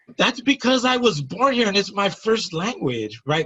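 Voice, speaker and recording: A man talks at a middling tempo, his voice creaking with vocal fry as his pitch leaps dramatically. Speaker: nonprofit founder, former gang member. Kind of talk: interview. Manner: articulate; stammering repetitions.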